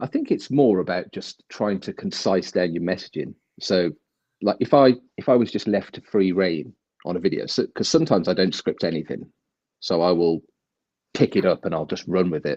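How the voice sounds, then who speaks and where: A man with an English accent speaks at a fairly quick pace and a very deep, low pitch, with ordinary pitch variation. His tone is dark and mellow, and the sound is dry and close with no echo. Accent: broad English. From English Midlands. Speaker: crypto video creator. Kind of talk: casual chat. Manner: fast.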